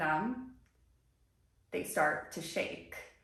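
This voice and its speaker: There is audible room echo. The pace of speech is very slow. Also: woman. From US suburbs, Brazilian family. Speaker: lifestyle vlogger. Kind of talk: personal vlog monologue. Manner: casual, conversational.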